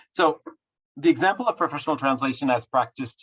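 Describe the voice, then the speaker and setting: Dry and close with no echo, a man's voice shows ordinary pitch variation. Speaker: professor. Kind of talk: lecture. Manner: fast; halting.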